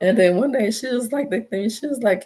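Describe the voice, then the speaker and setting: The pace is fairly quick. An American accent is heard. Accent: Houston Texas accent, noticed by others. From Texas, Houston. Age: adult. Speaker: YouTuber selling Texas designs. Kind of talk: casual livestream talk.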